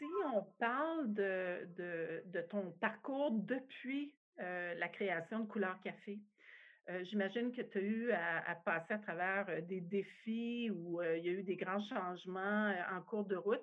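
This woman's pitch sits at a medium level. She talks at a very slow pace. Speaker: industry association CEO, podcast host. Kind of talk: interview.

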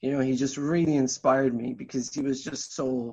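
Speaking at a moderate pace with a southern Irish accent, a man keeps fairly even intonation in a medium pitch over a quiet background. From Ireland, Tipperary. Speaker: singer-songwriter. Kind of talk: interview. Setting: remote call.

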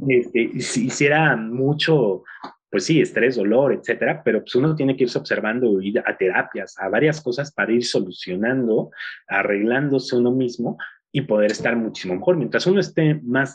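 A man with a medium pitch speaks at a moderate pace, his intonation lively. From Mexico. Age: 30s. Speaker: business coach and entrepreneur. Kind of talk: interview. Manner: halting, many fillers.

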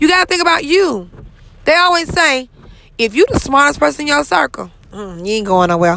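A woman's raised, projected voice comes at a fairly quick pace, high-pitched with very wide pitch swings. Her tone is animated, bright and sharp. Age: 30s. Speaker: podcast host. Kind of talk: motivational monologue.

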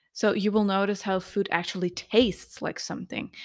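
A woman with a non-native accent talks at a fairly quick pace and with fairly even intonation, recorded very cleanly against a silent background. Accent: heavy non-native. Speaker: podcast host. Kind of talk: solo podcast monologue on nutrition. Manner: casual, laughs often, chatty.

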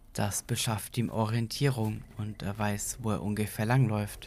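A man talks in a normal speaking voice, fairly low in pitch, with fairly even intonation at a fairly slow pace. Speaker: podcast narrator. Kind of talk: horror story narration, read aloud as a creepypasta.

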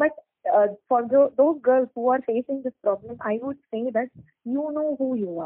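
This woman talks at a moderate pace in a high pitch, with a Tamil Nadu accent. Her pitch variation is ordinary. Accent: Tamil Indian English. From Chennai, Tamil Nadu, India. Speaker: doctor and beauty pageant model. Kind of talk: interview. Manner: hesitant, many fillers.

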